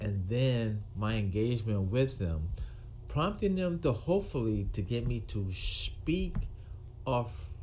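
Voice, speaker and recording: A man speaks very slowly at a medium pitch, his somewhat breathy voice dark and mellow. His pitch swings very widely, and the room echo is audible. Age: 60s. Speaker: retired police officer. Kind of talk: monologue to camera. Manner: halting, with fillers and repetitions.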